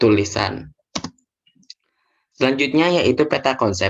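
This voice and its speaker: This man speaks with ordinary pitch variation. His pace is moderate. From Indonesia, Bondowoso, East Java. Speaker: teacher. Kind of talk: lesson.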